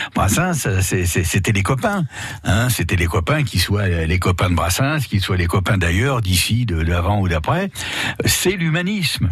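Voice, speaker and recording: With lively intonation and very even loudness, a man at fairly low pitch speaks at a fairly slow pace against noticeable background noise. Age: 70s. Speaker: singer. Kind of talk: radio interview. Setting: studio.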